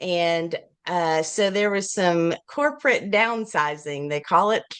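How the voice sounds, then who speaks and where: In an Appalachian accent, a woman with a fairly low pitch and lively intonation speaks at a very slow pace. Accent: Appalachian Southern US. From US South, Appalachian Virginia. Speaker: children's book author and illustrator. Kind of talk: interview. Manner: animated; halting.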